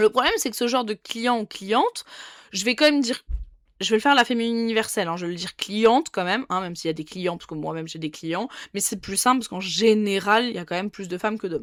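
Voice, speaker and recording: On a very clean recording with a silent background and a dry, close sound with no echo, a woman speaks very fast at a fairly high pitch, her intonation lively and her loudness swinging widely. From France, Dijon. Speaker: nail technician. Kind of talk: casual vlog monologue. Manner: casual, with many fillers and restarts.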